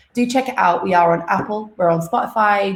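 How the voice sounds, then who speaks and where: At a fairly quick pace, the voice varies its pitch in an ordinary way. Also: woman. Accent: British. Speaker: livestream host, content manager. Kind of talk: live stream intro. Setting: live stream from home. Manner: casual.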